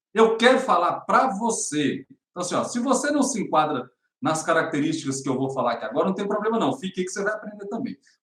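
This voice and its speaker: A man speaks at a very fast pace and a high pitch. His pitch swings very widely. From Brazil, northern Minas Gerais (Montes Claros). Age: 40s. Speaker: spiritual development coach. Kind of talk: motivational talk to camera.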